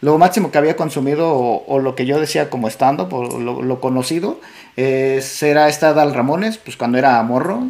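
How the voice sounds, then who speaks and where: A man with a normal speaking voice, ordinary pitch variation, and a moderate pace. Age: 30s. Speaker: podcast host. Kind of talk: casual chat.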